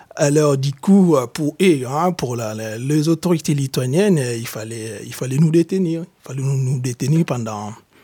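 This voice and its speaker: A man's fairly high, somewhat breathy voice with a dark, mellow tone, lively intonation and a very slow pace. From DR Congo. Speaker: exiled activist. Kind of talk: testimony. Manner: halting.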